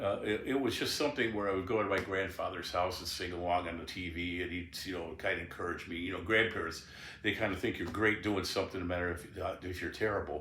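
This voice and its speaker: Very fast with hardly any pauses, a man's very deep, low voice carries a bright, sharp tone and fairly even intonation amid audible room echo. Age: 70s. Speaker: blues guitarist and singer. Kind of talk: memoir interview, casual reminiscing. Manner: halting.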